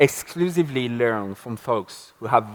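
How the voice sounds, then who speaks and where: This man talks with a French accent at a medium pitch. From France. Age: 30s. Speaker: marketing speaker. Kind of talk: conference talk. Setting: stage with audience.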